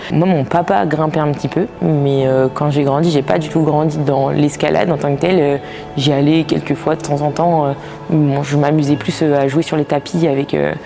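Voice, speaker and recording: Over music in the background, a woman speaks with a very deep, low pitch, fairly even intonation, and very even loudness. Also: moderate pace. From Brittany, France (Finistère). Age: 20s. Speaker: physiotherapist and pro climber. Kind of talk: interview. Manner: hesitant, many filler sounds.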